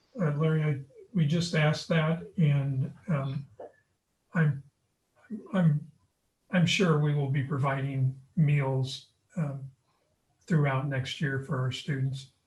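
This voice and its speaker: With long, frequent pauses, a man talks at a very slow pace in a somewhat breathy voice of fairly high pitch. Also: fairly even intonation. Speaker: school district leader. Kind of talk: town hall meeting.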